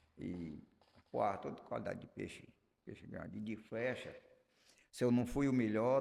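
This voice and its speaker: Keeping a moderate pace, a man with an unremarkable speaking voice talks with fairly even intonation. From Brazil, Acre (Juruá river region). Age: 60s. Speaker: artisanal fisherman. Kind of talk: interview.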